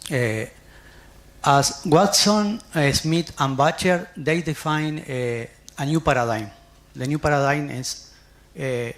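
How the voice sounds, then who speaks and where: A man with a Spanish accent, fairly high-pitched for a man, at a fairly slow pace with long, frequent pauses and ordinary pitch variation. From Uruguay. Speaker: nursing scholar, conference speaker. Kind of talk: conference presentation. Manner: halting, with frequent fillers.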